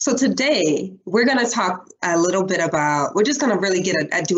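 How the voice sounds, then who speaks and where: Fairly quick speech from a woman with an American accent, medium-pitched, with lively intonation. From western New York. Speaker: democracy reform organizer. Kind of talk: presentation. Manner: fast.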